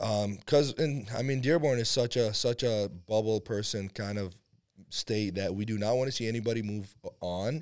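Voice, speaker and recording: An ordinary speaking voice, pitch varying in an ordinary way, delivered at a moderate pace. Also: man, medium pitch for a man, very clean recording, silent background. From Iraq and Syria, moved to US at 11. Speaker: powerlifter. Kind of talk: casual chat.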